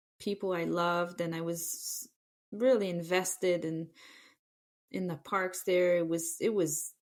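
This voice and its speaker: A woman with a French Canadian accent talks at a very slow pace. The recording is very clean, with a silent background. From Quebec City, Canada. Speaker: former ski terrain park manager. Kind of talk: podcast interview. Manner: halting, many fillers.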